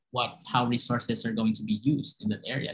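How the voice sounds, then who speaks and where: This man has a medium-pitched voice that sounds somewhat breathy. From Philippines. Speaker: marine conservationist. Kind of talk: panel discussion.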